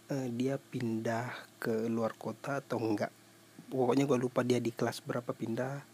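This man talks at a moderate pace in a medium pitch. His intonation is monotone and flat. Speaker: podcaster. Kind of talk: casual solo storytelling. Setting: at home before sleep. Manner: halting, many fillers.

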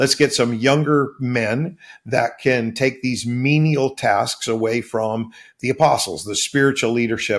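In a very clean recording with a silent background, a man talks at a fairly slow pace. His medium-pitched, unremarkable speaking voice shows ordinary pitch variation. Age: 60s. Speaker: pastor. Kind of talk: interview conversation.

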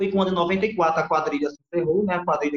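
Speaking at a very fast pace, this man has a high pitch and ordinary pitch variation, heard in a dry, close sound with no echo. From Ceará, Brazil. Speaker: festival costume designer. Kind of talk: casual chat.

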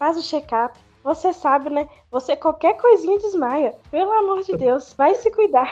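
Using lively intonation, a woman speaks at a fairly slow pace with a high pitch. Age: 20s. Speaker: photoshoot client. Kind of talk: casual chat.

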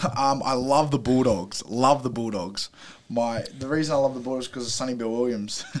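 A man's medium-pitched voice with an Australian accent, fairly even intonation and a fairly quick pace. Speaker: rugby league player. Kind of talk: interview.

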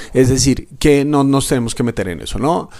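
Man's voice at medium pitch and a fairly slow pace. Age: 30s. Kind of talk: reflective solo podcast talk. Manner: hesitant fillers.

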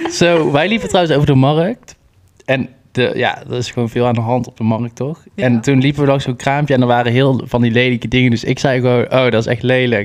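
A man with a plain, everyday voice talks at a medium pitch and a fairly quick pace, with ordinary pitch variation. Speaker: podcast co-host. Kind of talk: casual chat.

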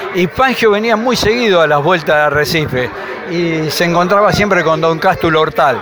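Over noticeable background noise and audible room echo, a man with a high pitch talks at a moderate pace with ordinary pitch variation and very even loudness. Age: 70s. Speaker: local motorsport historian. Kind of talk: interview.

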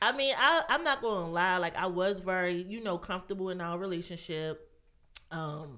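Her tone comes across bright and sharp. This woman's pitch sits in the medium range. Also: lively intonation, fairly quick pace. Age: 30s. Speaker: massage therapist. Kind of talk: casual chat.

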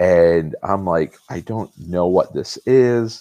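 A man speaks in a dark, mellow tone. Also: dry, close sound with no echo. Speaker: flag and patch designer. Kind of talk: casual chat. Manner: casual, profane.

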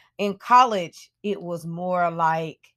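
Recorded very cleanly against a silent background, a woman with an ordinary speaking voice talks in a fairly low pitch with ordinary pitch variation. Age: 30s. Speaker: podcast host. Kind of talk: reflective solo monologue. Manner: casual, conversational with fillers.

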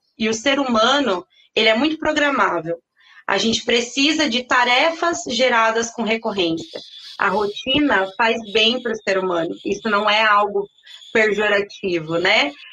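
In a plain, everyday voice, a woman speaks fairly slowly at a fairly high pitch with lively intonation. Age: 30s. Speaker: sales consultant. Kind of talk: interview.

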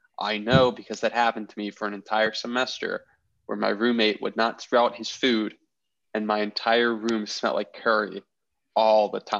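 A man's medium-pitched voice at a moderate pace, monotone and flat in intonation, over a quiet background. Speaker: podcast host. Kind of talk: casual comedy banter.

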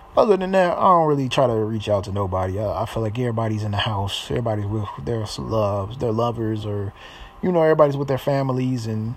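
A man with an American accent talks at a very fast pace and medium pitch with lively intonation, over noticeable background noise and audible room echo. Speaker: podcaster and rapper. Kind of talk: casual monologue. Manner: halting.

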